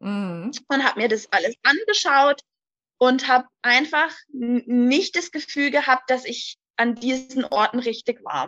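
Speaking at a very slow pace, a woman has a high pitch and a bright, sharp tone, captured with a dry, close sound and no echo. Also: ordinary pitch variation. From Hochrhein, southern Baden-Württemberg near the Swiss border. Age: 20s. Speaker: daycare centre manager. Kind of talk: interview.

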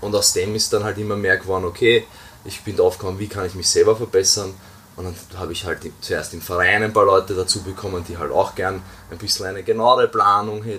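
With big swings in loudness and noticeable background noise, a man speaks at a fairly quick pace. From Austria. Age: 20s. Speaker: weightlifting coach. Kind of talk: podcast interview.

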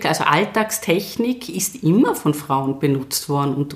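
Noticeable background noise surrounds a woman's very deep, low voice, which moves through very wide pitch swings. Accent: slight Tyrolean. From Tyrol, Austria. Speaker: university rector and professor. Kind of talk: interview.

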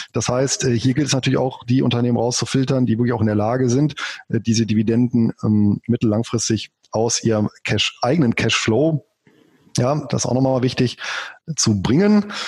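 A normal speaking voice at a moderate pace, with ordinary pitch variation, very even loudness, and a dry, close sound with no echo. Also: man, medium pitch for a man. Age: 40s. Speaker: finance blogger and author. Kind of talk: interview.

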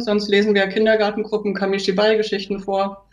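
Through noticeable background noise, a woman with a fairly high pitch talks at a very fast pace. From Thuringia, Germany. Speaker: mobile library librarian. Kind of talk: casual interview.

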